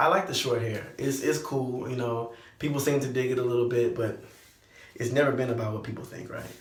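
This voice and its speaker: A man with an American accent, medium pitch, fairly quick pace, ordinary pitch variation, big swings in loudness, audible room echo and noticeable background noise. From Texas, Lake Jackson. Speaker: vlogger and musician. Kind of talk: personal vlog update.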